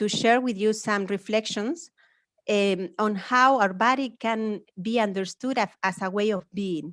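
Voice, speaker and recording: A woman with a fairly high pitch speaks at a fairly slow pace with ordinary pitch variation, her voice dry and close with no echo over a quiet background. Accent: strong Spanish. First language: Spanish. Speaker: academic speaker. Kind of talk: lecture. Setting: webinar.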